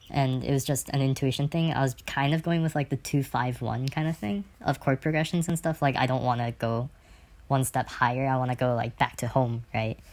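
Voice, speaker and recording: A woman with a very deep, low pitch speaks with fairly even intonation. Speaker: amateur composer. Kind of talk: casual screen-recorded tutorial. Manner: fast; casual, rambling with fillers.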